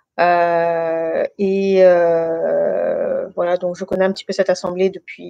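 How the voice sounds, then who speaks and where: The recording has a dry, close sound without echo. A woman does the talking. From France, Guinean family. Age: 30s. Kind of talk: testimony. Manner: hesitant, many fillers.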